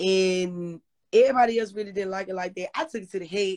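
A woman with an American accent, ordinary pitch variation, and a dry, close sound with no echo. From Memphis, US South. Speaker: rapper. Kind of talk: interview.

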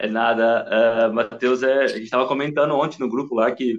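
A man with a normal speaking voice talks at a moderate pace with fairly even intonation. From interior of São Paulo state, Brazil. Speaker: football fan, shirt collector. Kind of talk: casual chat.

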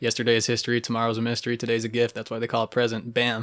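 A man speaks at a very fast pace with an American accent. His pitch sits in the medium range. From Cape Cod and Texas. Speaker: podcast host. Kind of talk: casual chat. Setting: home studio in a basement. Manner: animated.

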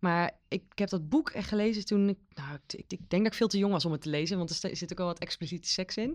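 A woman at a medium pitch speaks very fast with hardly any pauses and ordinary pitch variation, in a dry, close sound with no echo on a very clean recording with a silent background. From Netherlands, Veluwe village. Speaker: librarian. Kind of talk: casual chat.

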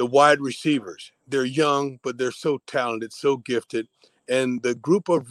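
A man's plain, everyday voice at medium pitch and a moderate pace, with ordinary pitch variation and a dry, close sound with no echo. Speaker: football analyst. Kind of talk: casual chat.

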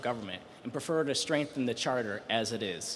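A man talks at a fairly quick pace with lively intonation, and there is noticeable background noise. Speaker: policy fellow, audience questioner. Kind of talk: question from audience. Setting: stage with audience.

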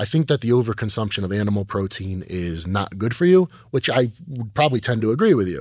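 The recording is very clean, with a silent background. A man speaks fairly quickly in a medium, somewhat breathy voice with very wide pitch swings. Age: 30s. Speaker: pro bodybuilder. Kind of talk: casual interview. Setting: studio.

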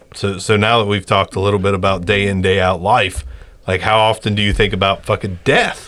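In a normal speaking voice, a man talks fairly quickly at a fairly low pitch, with fairly even intonation and very even loudness. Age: 30s. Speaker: podcast host. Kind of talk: casual chat. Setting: studio.

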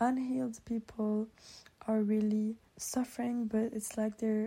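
A woman speaks fairly slowly at a fairly high pitch, somewhat breathy, with a dark, mellow tone. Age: 20s. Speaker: podcast host. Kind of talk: solo podcast monologue.

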